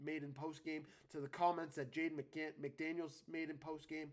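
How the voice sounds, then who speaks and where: A man talks in an unremarkable speaking voice, pitched fairly high and delivered at a moderate pace. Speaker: sports show host. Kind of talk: solo sports commentary livestream. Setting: live stream.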